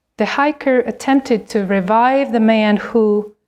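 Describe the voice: The pitch moves in an ordinary way. The delivery is plain reading aloud.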